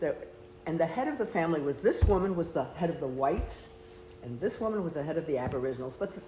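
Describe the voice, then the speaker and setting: A woman with an American accent and a fairly low pitch talks very fast in an animated tone with lively intonation over noticeable background noise. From United States. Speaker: retired nurse. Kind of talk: casual chat.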